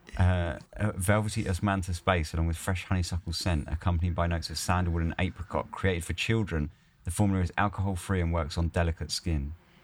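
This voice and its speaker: This man has a British accent and a very deep, low pitch. He talks at a very fast pace. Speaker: podcast co-host. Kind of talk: casual banter chat.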